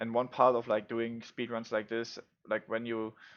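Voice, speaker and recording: With a non-native accent, a man talks at a moderate pace and a medium pitch. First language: not English. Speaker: gaming YouTuber, speedrunner. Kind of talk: gameplay tutorial commentary. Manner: casual, many fillers.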